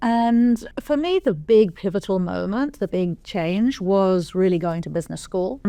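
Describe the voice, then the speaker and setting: This woman has an English accent and lively intonation. She talks at a moderate pace against a quiet background. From England. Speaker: venture capital investor. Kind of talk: podcast interview.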